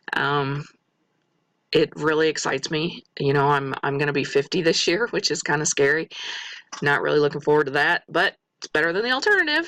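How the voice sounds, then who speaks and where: The pace is fairly quick. The speaker has an American accent. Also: woman, very deep, low pitch for a woman, ordinary pitch variation. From US Midwest, Missouri. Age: 40s. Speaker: respiratory therapist and student. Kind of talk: self-introduction monologue. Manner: halting, with fillers.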